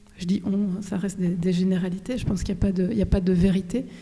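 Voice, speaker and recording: Somewhat breathy with a dark, mellow tone, a woman speaks at a medium pitch and a fairly quick pace. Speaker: author. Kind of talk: talk with audience Q&A.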